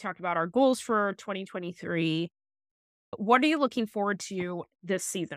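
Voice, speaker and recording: A woman's unremarkable speaking voice at medium pitch, moderate pace and lively intonation, with big swings in loudness, dry, close sound with no echo, and a very clean recording over a silent background. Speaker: podcast co-host. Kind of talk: casual chat.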